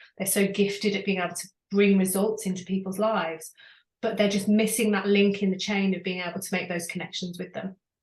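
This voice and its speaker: Somewhat breathy and at a fairly quick pace, a woman speaks at medium pitch in a flat monotone. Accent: British. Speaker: business coach. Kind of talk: interview.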